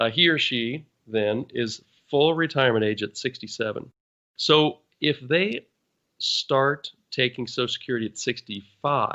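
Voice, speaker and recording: Speaking at a fairly slow pace, a man uses a plain, everyday voice of medium pitch with ordinary pitch variation. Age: 60s. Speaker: financial advisor. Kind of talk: podcast Q&A explanation.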